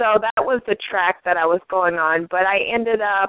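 Talking in an unremarkable speaking voice with an American accent, a woman speaks at a medium pitch and fairly slow pace with ordinary pitch variation. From US Midwest (St. Paul, Minnesota). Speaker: talk show host and coach. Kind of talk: interview, casual chat.

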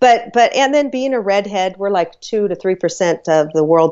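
An unremarkable speaking voice from a woman, lively intonation at a moderate pace. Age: 50s. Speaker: author and matchmaker, radio show host. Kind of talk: casual interview chat.

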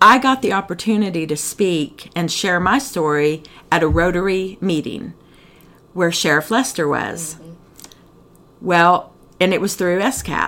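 A woman with a fairly low pitch talks at a fairly slow pace, leaving long, frequent pauses, her loudness swinging widely while her pitch varies in an ordinary way. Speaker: recovering addict sharing her story. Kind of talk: testimony.

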